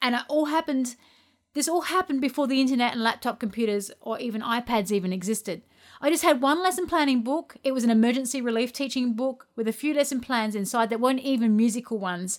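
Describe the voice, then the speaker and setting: A woman speaks with an Australian accent. Her voice is high and her pace is very fast. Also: ordinary pitch variation. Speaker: podcast host and music teacher. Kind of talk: solo podcast monologue.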